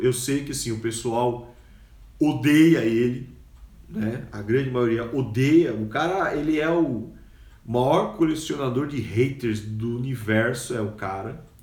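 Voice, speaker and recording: A man's somewhat breathy voice at medium pitch, fairly slow, with ordinary pitch variation and audible room echo. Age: 40s. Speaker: podcaster and educator. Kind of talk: casual monologue.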